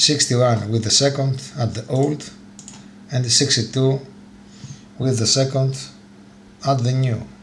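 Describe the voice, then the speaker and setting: With long, frequent pauses and flat, monotone intonation, a man speaks at a medium pitch with a Greek accent. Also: fairly slow pace. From Greece. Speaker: motorcycle YouTuber. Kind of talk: tutorial. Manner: halting, many fillers.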